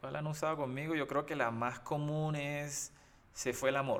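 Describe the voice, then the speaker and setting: This man has an ordinary speaking voice, pitched fairly high, and talks at a moderate pace. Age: 30s. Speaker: podcast co-host. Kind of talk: casual chat.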